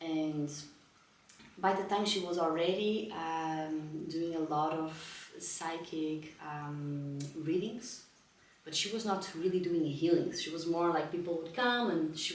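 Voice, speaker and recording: In a Portuguese accent, a woman with fairly low pitch talks at a fairly slow pace and fairly even intonation, with audible room echo and noticeable background noise. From northern Portugal. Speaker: spiritual healing teacher. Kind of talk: lecture. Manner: halting, with frequent fillers.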